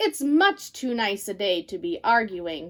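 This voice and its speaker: Using a put-on character voice, a woman swings her pitch very widely. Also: fairly high pitch for a woman, fairly slow pace, very clean recording, silent background. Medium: read story.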